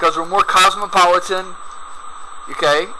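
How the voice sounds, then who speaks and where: A man speaks in an animated tone with an American accent. Noticeable background noise runs behind him. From US South, rural Georgia east of Atlanta. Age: 50s. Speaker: video commentator. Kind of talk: video commentary.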